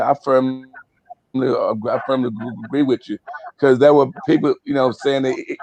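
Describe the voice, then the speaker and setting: The talking proceeds at a moderate pace. Background music is present. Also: man. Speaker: retired art teacher and artist. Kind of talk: panel discussion.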